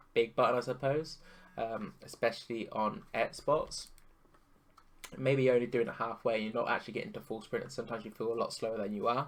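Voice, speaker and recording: A man speaks quietly at medium pitch. His pace is fairly quick. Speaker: gaming YouTuber, pro FIFA player. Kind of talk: tutorial. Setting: home recording at night. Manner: quiet, subdued to avoid waking others; casual with many fillers and restarts. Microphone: voice may sound quiet.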